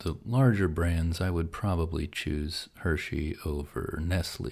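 In a very clean recording with a silent background, a man with an American accent speaks at a fairly slow pace, his very deep, low voice somewhat breathy. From Pennsylvania, US. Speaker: podcast host. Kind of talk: sleep podcast monologue.

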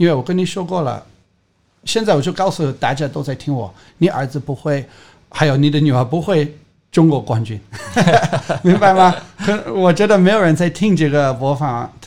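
With an English accent and a fairly high pitch, a man uses lively intonation at a moderate pace, leaving long, frequent pauses. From England. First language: English (speaking Chinese). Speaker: skateboarding coach. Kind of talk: casual interview.

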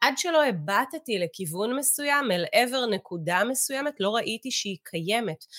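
At a moderate pace, a woman speaks with very wide pitch swings, in a dry, close sound with no echo on a very clean recording with a silent background. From Israel, kibbutz in the south. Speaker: meditation teacher and business executive. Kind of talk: interview with guided teaching on meditation.

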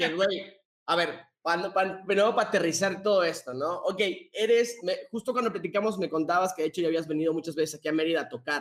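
At a very fast pace, a man with a Mexican accent speaks in a high voice with ordinary pitch variation. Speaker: podcast co-host. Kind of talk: casual chat.

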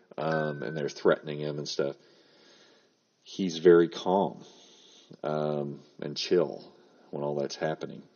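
With a very deep, low pitch, a man speaks slowly and fairly flatly in a monotone, leaving long, frequent pauses. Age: 50s. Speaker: writing podcast host and writing teacher. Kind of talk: solo podcast tutorial. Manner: casual with frequent fillers.

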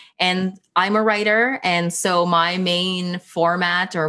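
Speaking with a Canadian accent, a woman with a fairly low pitch has a bright, sharp tone. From Canada, Greater Toronto Area. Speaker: writer and social justice advocate. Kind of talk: casual interview chat.

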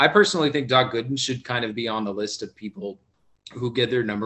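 In a normal speaking voice, the speaker goes at a fairly quick pace with ordinary pitch variation. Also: man. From South Florida. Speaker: podcast panelist. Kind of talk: casual chat.

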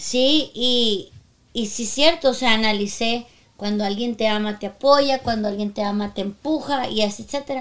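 Speaking fairly slowly, the woman uses a fairly high voice with ordinary pitch variation. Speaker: podcast co-host, singer and voice actor. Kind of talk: casual chat.

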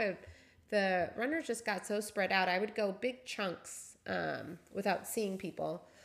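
A woman with a plain, everyday voice and an American accent speaks at a fairly slow pace and medium pitch with ordinary pitch variation, on a very clean recording with a silent background. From Seattle. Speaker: amateur trail runner, host's wife. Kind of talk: casual chat.

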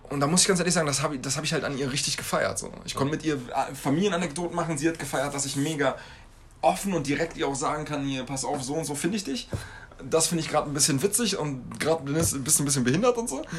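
The speech comes at a very fast pace with ordinary pitch variation. Noticeable background noise runs underneath. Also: man, fairly high pitch for a man. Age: 30s. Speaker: podcast co-host. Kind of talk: casual chat.

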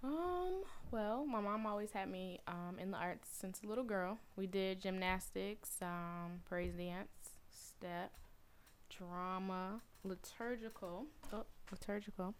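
A woman's medium-pitched voice in a Southern US accent, very slow in pace, with fairly even intonation. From US South, Atlanta. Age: 20s. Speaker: praise mime and arts school founder. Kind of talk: casual chat.

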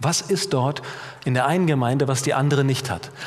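Against noticeable background noise, the talking proceeds at a moderate pace, its pitch varying in an ordinary way. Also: man. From Germany, Middle Rhine (Bad Kreuznach, near Mainz). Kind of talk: sermon. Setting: church.

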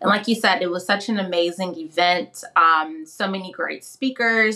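Here a woman with an unremarkable speaking voice talks at a moderate pace, her medium pitch showing ordinary pitch variation. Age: 30s. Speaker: mental health coach. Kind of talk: personal testimony interview.

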